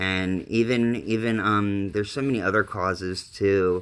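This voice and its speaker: The voice moves at a fairly slow pace with fairly even intonation. The recording is very clean, the background silent. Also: man. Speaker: live streamer. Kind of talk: casual live stream chat. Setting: mobile live stream during a hurricane. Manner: halting, many fillers.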